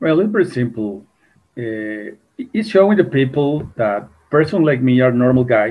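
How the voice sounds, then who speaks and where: At a moderate pace, a man talks in a medium pitch. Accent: Mexican. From Mexico. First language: Spanish. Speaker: UFO contactee. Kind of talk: interview. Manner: halting, repeats words.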